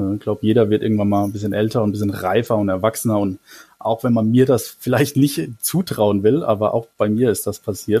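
A man speaks at a medium pitch with ordinary pitch variation. His tone is dark and mellow, and somewhat breathy. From Germany, Mannheim. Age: 30s. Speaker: Twitter user. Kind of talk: casual interview.

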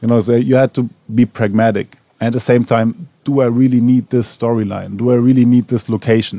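A man with a German accent at medium pitch, a dark and mellow tone, a fairly quick pace, very even loudness, and a dry, close sound with no echo. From Germany, Berlin. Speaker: TV showrunner. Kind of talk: on-stage panel interview. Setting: cinema stage with audience. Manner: halting, many fillers.

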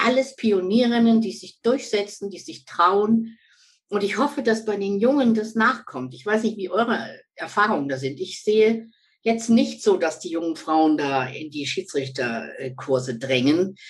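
A woman with a medium pitch speaks at a fairly slow pace, using vocal fry. Her pitch swings very widely, her loudness shifts greatly, and the background is quiet. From Lower Saxony, Germany. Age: 60s. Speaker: former football referee and coach. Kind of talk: interview.

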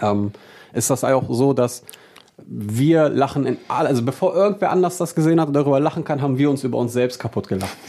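An ordinary speaking voice comes through at a fairly quick pace with ordinary pitch variation. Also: man, fairly high pitch for a man. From Braunschweig, Lower Saxony, Germany. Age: 30s. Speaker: DJ and music producer. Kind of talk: casual interview chat.

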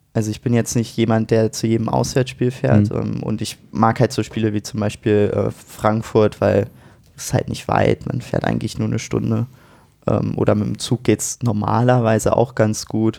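With a dark, mellow tone and vocal fry, a man talks at a fairly low pitch with fairly even intonation. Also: moderate pace. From Brandenburg, Germany. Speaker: football fan, university student. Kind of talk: casual chat.

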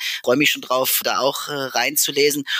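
This man has a fairly high pitch. His tone is bright and sharp. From Saxony-Anhalt, Merseburg. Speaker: podcast host and politician. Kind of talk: interview. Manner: hesitant, many filler sounds.

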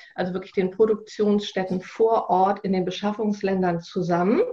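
Somewhat breathy, a woman talks at a medium pitch and a moderate pace. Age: 40s. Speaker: sustainability officer at a business initiative, fashion industry background. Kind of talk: podcast interview. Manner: hesitant, many filler sounds.

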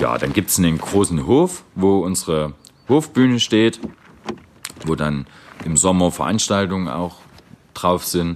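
A man with a very deep, low voice speaks at a fairly slow pace, leaving long, frequent pauses. His intonation is lively, and there is noticeable background noise. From Saxony, eastern Germany. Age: 30s. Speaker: social worker. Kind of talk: interview testimony.

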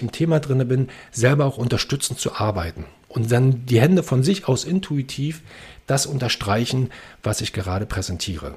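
A somewhat breathy man's voice at medium pitch, with ordinary pitch variation. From Berlin. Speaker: actor and presentation coach. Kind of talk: interview, explaining presentation techniques. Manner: fast.

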